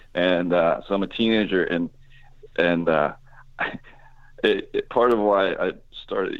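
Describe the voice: A man's low pitch with fairly even intonation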